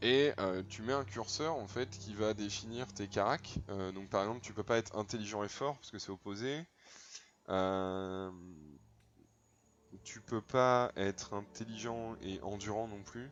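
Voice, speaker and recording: A man with a fairly low pitch and ordinary pitch variation speaks at a fairly slow pace, leaving long, frequent pauses, with big swings in loudness. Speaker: video game streamer. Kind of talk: live gameplay commentary. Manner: casual, animated.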